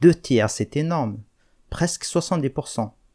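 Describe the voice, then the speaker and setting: In an Algerian accent, a man speaks with a dark, mellow tone and ordinary pitch variation, the sound dry and close with no echo on a very clean recording with a silent background. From Kabylie, Algeria. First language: Kabyle (speaking French). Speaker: language teacher, YouTuber. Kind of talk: video monologue to viewers.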